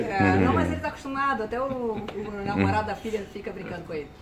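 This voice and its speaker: A woman talks at a fairly quick pace with a fairly high pitch. Noticeable background noise runs underneath. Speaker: sports journalist and broadcaster. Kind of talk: interview answer.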